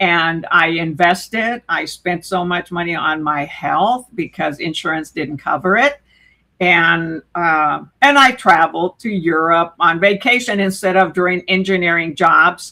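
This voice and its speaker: With a bright, sharp tone, a woman speaks at a fairly low pitch and a fairly slow pace, her pitch varying in an ordinary way. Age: 70s. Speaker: YouTube creator, interview guest. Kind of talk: casual interview chat. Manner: animated.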